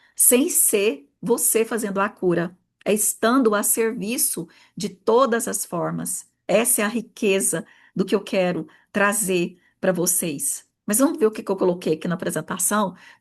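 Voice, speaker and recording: Over a quiet background, a woman talks at a fairly slow pace and medium pitch, her tone animated and her intonation lively. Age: 40s. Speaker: therapist and mentor. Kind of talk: online workshop talk.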